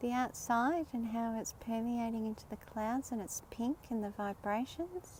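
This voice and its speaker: Speaking at a fairly slow pace with hardly any pauses, a woman with an Australian accent uses a fairly high pitch. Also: ordinary pitch variation. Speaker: spiritual livestreamer. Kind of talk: live stream commentary. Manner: animated.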